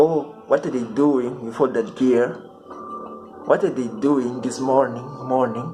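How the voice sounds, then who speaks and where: Over music in the background, a man with a non-native accent speaks at a fairly slow pace and a medium pitch. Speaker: amateur poetry reader. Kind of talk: reading aloud.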